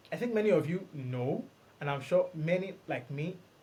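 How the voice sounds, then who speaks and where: A man with a dark, mellow tone and a somewhat breathy quality talks with ordinary pitch variation. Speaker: podcast host and blockchain developer. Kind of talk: solo podcast monologue. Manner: fast.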